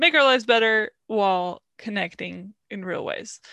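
Over a quiet background with a dry, close sound and no echo, a woman speaks at a fairly slow pace in a medium pitch with a bright, sharp tone and ordinary pitch variation. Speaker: podcast host. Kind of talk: casual chat.

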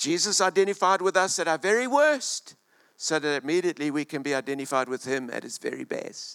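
A man's warm-toned voice, dry and close with no echo, on a very clean recording with a silent background. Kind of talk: sermon. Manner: animated, exhorting the congregation to shout and say amen; warm and humorous, with laughing asides.

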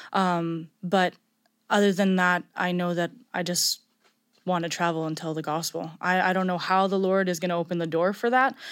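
A woman with an unremarkable speaking voice talks at a moderate pace, her pitch fairly low and her intonation fairly even. The recording is very clean, with a silent background. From Montreal, Canada. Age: 20s. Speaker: Bible school student. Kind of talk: testimony.

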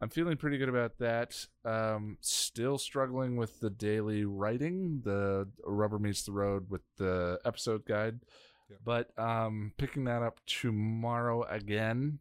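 A man speaks at a fairly slow pace with a medium pitch and an unremarkable speaking voice. The recording is very clean, with a silent background. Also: ordinary pitch variation. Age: 40s. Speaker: podcast co-host. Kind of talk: casual chat.

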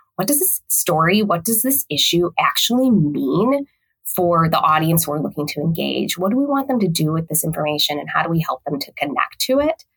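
Speaking with a Midwestern US accent, a woman moves at a fairly quick pace with hardly any pauses. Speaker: communications executive. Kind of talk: casual interview.

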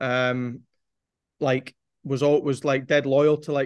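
Monotone, flat intonation marks this man's medium-pitched voice in a Scottish accent. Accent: Scottish (Angus). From Scotland, Forfar (Angus). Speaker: football performance analyst. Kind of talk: casual interview chat.

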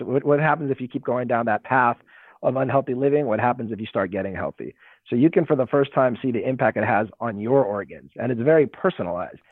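A man at a medium pitch, with a Californian accent, a very fast pace and ordinary pitch variation. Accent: Californian American. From Los Angeles. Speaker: health tech company president. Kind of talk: interview.

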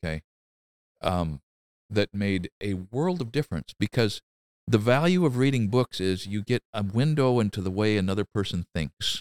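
A man with an American accent, fairly low in pitch, at a moderate pace with lively intonation, in a dry, close sound with no echo. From US Pacific Northwest, rural Oregon. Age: 60s. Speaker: builder and craftsman, YouTuber. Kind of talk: casual interview. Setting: in his workshop.

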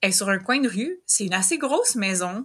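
A woman with a Quebec accent at a fairly slow pace. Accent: Québécois French. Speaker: host's older sister. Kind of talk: casual interview.

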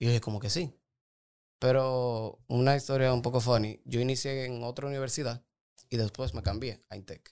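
Here is a man with a normal speaking voice at a medium pitch. He keeps a moderate pace with fairly even intonation. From Dominican Republic, Santo Domingo. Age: 20s. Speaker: doctor and nutrition coach. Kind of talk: casual interview.

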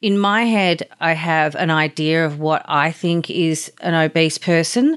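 This woman has an Australian accent. Her pitch sits fairly low. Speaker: podcast host. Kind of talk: interview.

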